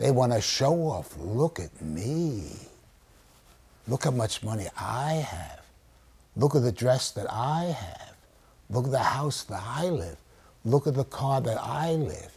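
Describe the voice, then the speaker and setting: Speaking in an American accent at a very slow pace, a man with a medium-pitched voice and vocal fry makes very wide pitch swings and leaves long, frequent pauses. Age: 80s+. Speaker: children's author and storyteller. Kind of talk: teaching children in a class discussion. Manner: animated.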